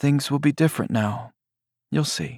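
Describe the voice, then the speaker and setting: A man's raspy, gentle put-on character voice, fairly high in pitch, at a moderate pace, with a dry, close sound and no echo. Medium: read story. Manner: gentle, wry.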